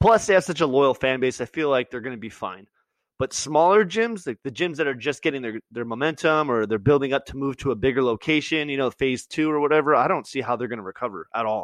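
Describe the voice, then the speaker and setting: This man talks very fast at a fairly high pitch, his intonation lively. The sound is dry and close with no echo, and the background is quiet. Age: 30s. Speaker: podcast host and boxer. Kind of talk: casual chat. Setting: video call.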